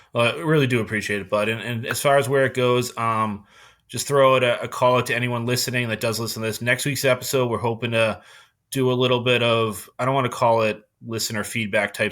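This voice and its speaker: In a Boston accent, a man talks at a very fast pace with medium pitch and fairly even intonation, on a very clean recording with a silent background. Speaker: podcast host. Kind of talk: casual chat. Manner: monotone.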